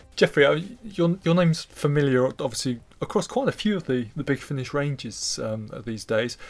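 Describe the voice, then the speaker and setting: Here is a man with an ordinary speaking voice, pitched fairly high, using lively intonation. His pace is moderate, with hardly any pauses. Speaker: audio drama producer. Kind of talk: interview. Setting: recording studio.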